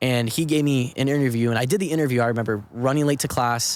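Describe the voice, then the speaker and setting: Someone talks at a very fast pace. The speaker has an American accent. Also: man. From Southern California, Orange County. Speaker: actor and filmmaker. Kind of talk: casual podcast interview. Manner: animated.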